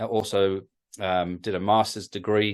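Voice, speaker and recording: Against a quiet background, a man talks at a fairly slow pace in a monotone, flat intonation. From northeast England. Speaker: creationist ministry speaker. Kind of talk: interview. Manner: halting, many fillers and repeats.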